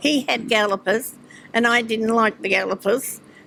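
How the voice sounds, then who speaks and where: A woman with a fairly high voice speaks in an Australian accent. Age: 80s+. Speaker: retired businesswoman and harness racing owner. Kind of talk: interview. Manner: halting.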